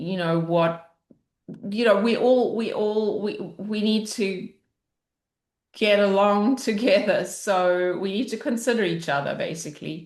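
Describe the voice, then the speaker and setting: With an Australian accent, a woman speaks at a fairly slow pace, leaving long, frequent pauses. Her pitch is medium, with ordinary pitch variation. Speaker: parent coach and facilitator. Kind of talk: interview conversation. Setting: video call. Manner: loud.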